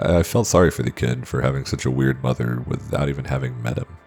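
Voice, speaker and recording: Music plays behind a man whose voice has a very deep, low pitch. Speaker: horror story narrator. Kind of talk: horror story narration.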